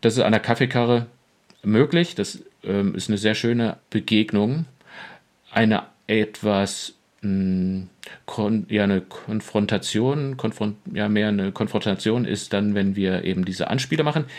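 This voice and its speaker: A man speaks at a fairly slow pace with a fairly low pitch and ordinary pitch variation. Long pauses come often. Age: 40s. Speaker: pastor. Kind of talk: casual chat.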